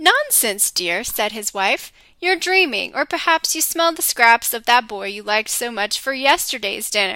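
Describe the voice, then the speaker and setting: A woman uses a put-on character voice at a high pitch. She goes at a moderate pace. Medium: read story.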